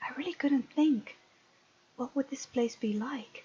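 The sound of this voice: At a fairly slow pace, a woman speaks in a high pitch with a husky, rough edge, a dark, mellow tone and ordinary pitch variation.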